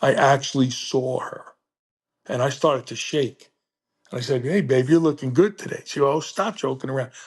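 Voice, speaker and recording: A man speaks with fairly high pitch. His voice is somewhat breathy. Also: ordinary pitch variation, moderate pace. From New Jersey. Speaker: blind teacher, coach and motivational speaker. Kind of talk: interview answer, personal story. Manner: emotional, animated storytelling.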